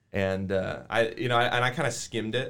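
In an American accent, an ordinary speaking voice with ordinary pitch variation comes through on a very clean recording with a silent background. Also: man. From Colorado, US. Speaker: worship pastor. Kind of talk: casual interview, personal testimony.

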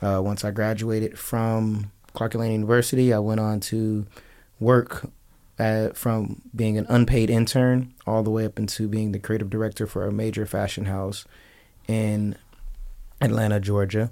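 A man with an American accent talks at a moderate pace in a fairly low, dark, mellow tone with monotone, flat intonation. The recording is very clean, with a silent background. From Las Vegas, Nevada. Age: 20s. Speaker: fashion designer and clothing business owner. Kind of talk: radio interview. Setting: radio studio.

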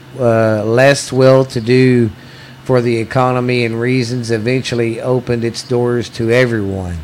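Noticeable background noise sits behind a man speaking with a Southern US accent in a monotone, flat intonation. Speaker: podcast host. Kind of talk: reading ghost stories aloud.

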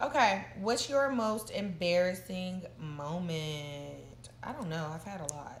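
Very slow delivery with hardly any pauses, lively intonation, big swings in loudness and audible room echo. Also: woman, fairly low pitch for a woman. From Tennessee, Murfreesboro. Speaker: reality TV personality. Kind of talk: casual chat.

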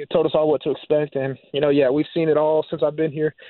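A man talks at a very fast pace with an American accent. His pitch is fairly high. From Florida, Jacksonville. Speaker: college quarterback. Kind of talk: interview.

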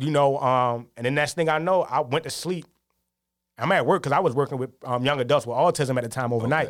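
A fairly high-pitched man talking at a fairly quick pace with ordinary pitch variation, on a very clean recording with a silent background. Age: 30s. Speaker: photographer. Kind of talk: casual interview. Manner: halting, many fillers.

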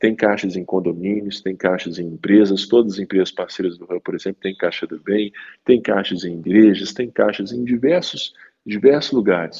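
Here is a man with an ordinary speaking voice, fairly low in pitch and with ordinary pitch variation. He goes at a moderate pace while his loudness swings a lot. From Minas Gerais, Brazil. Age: 30s. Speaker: economist and social entrepreneur. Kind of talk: interview.

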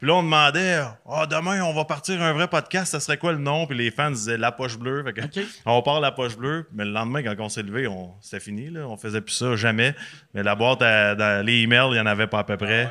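Over a silent background in a very clean recording, the voice has a bright, sharp tone, lively intonation and a fairly quick pace. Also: man, medium pitch for a man. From Quebec, Repentigny. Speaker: former hockey player and podcaster. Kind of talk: casual chat.

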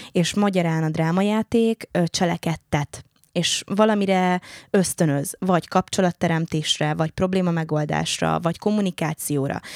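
The speech moves at a moderate pace. The sound is dry and close with no echo, in a very clean recording with a silent background. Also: woman, fairly low pitch for a woman. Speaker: actor and speech therapist. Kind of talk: casual chat.

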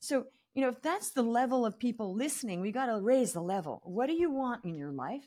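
A woman speaks in a high voice with very wide pitch swings at a fairly quick pace. The recording is very clean, with a silent background. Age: 50s. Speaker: business coach. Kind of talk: casual chat. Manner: animated.

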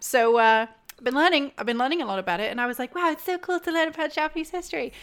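A woman speaks in a high voice with a British accent, her pitch swinging very widely. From UK. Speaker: games journalist. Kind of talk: casual chat.

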